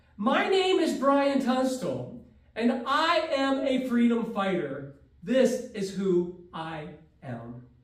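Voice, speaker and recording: An extremely high-pitched man at a very slow pace with very wide pitch swings, with audible room echo and noticeable background noise. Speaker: public speaking student. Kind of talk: prepared speech.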